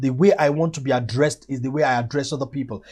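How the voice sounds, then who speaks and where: A man speaks in a fairly high voice with a somewhat breathy quality. His pitch moves in an ordinary way over a quiet background. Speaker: motivational teacher. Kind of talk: motivational lecture. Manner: fast.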